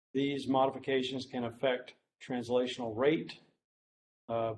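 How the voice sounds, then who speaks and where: A man speaks at medium pitch in a monotone, flat intonation, with audible room echo. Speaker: medical researcher, professor. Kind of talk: lecture. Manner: hesitant, many fillers.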